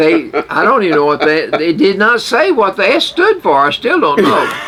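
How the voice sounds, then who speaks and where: This man speaks in a high, raised and projected voice at a moderate pace, his pitch swinging very widely while his loudness stays very even over noticeable background noise. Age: 80s+. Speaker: radio show co-host. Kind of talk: casual chat. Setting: radio studio.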